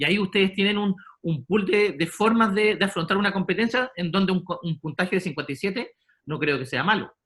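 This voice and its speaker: In a Chilean accent, a man with a bright, sharp tone talks at a fairly quick pace with ordinary pitch variation. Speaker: sports psychologist. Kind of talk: lecture. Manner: halting.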